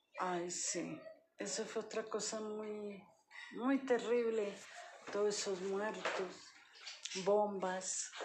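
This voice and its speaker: The speech moves at a very slow pace with long, frequent pauses and fairly even intonation. Audible room echo is present. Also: woman, medium pitch for a woman. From Colombia, Boyacá, later Bogotá. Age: 70s. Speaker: retired police worker, grandmother. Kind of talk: life-story interview.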